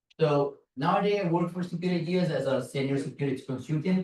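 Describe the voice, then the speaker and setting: Speaking in a Brazilian Portuguese accent, a man keeps a fairly quick pace and ordinary pitch variation. Room echo is audible. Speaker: security consultant and conference speaker. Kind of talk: conference talk. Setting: stage with audience. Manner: casual, conversational.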